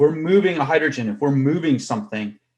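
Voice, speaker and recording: This man talks at a fairly quick pace in a normal speaking voice with lively intonation. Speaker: chemistry professor. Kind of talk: lecture.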